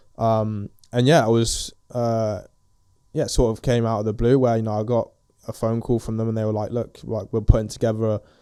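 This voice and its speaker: A man talks with an English accent in a dark, mellow tone. His intonation stays monotone and flat. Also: medium pitch for a man, fairly quick pace. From England. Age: 20s. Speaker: professional footballer. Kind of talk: casual interview. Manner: hesitant, many fillers.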